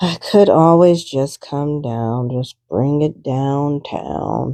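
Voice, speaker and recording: A woman mumbles at a very slow pace in a very deep, low voice with a dark, mellow tone and lively intonation. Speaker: art journaling crafter. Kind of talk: craft tutorial, thinking aloud. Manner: mumbling; casual, hesitant.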